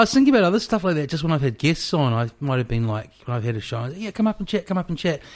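A man with a New Zealand accent, fairly high in pitch, with very wide pitch swings, a very fast pace and hardly any pauses, on a very clean recording with a silent background. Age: 40s. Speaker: podcast host. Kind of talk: casual chat. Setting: home kitchen.

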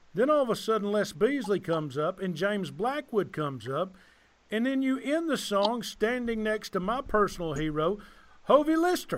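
A man with a Southern US accent, high pitch, very wide pitch swings and a moderate pace. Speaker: podcast host. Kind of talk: casual chat. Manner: animated.

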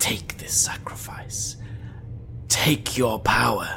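The pace is very slow. It is a put-on character voice. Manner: seductive, gloating, menacing.

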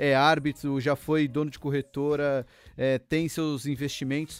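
This man's voice sits fairly high, recorded very cleanly against a silent background. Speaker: podcast host. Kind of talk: casual interview.

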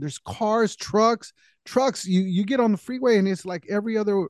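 A man with an American accent, high-pitched for a man, at a moderate pace with ordinary pitch variation, in a dry, close sound with no echo against a quiet background. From California. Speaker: podcast co-host. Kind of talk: casual chat.

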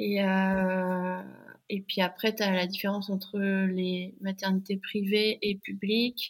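A woman speaks at a very slow pace, her medium-pitched voice somewhat breathy. Her intonation is monotone and flat, her loudness very even. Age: 30s. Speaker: mother and app founder. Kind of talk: interview testimony. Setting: podcast microphone.

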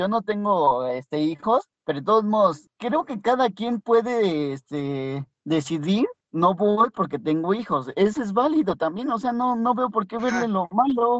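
Dry and close with no echo, a man's high-pitched voice swings very widely in pitch, moving at a fairly slow pace with hardly any pauses. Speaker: podcast co-host. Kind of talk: casual chat. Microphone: poor phone audio.

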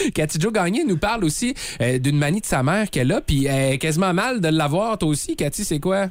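A man's high-pitched voice with lively intonation, very even loudness and a fairly quick pace. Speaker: morning radio host. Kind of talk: casual radio chat. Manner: animated.

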